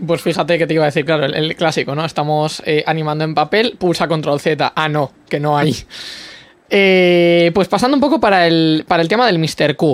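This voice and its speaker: A man with an ordinary speaking voice, fairly high in pitch, speaks at a moderate pace with ordinary pitch variation and very even loudness. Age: young. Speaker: podcast host. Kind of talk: interview.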